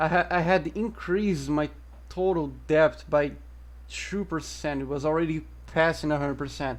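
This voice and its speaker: In a Portuguese accent, the speaker goes at a moderate pace on a very clean recording with a silent background. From Brazil. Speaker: gaming streamer. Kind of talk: live gameplay commentary. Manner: halting, self-correcting.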